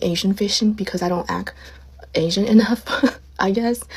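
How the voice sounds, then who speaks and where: Through noticeable background noise, a woman talks at a very fast pace with a medium pitch and fairly even intonation. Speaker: social media creator. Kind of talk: casual monologue.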